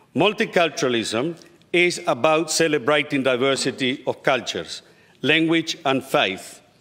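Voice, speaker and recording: A bright, sharp voice at a moderate pace, with ordinary pitch variation, over a quiet background. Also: man. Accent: Spanish. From Uruguay. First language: Spanish. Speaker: state politician. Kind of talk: parliamentary speech. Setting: parliament chamber. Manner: formal. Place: hall. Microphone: podium.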